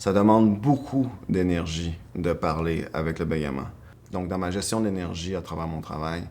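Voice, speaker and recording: A man speaks at a fairly slow pace with a very deep, low pitch. His pitch varies in an ordinary way. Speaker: B2B marketing strategist. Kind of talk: interview answer.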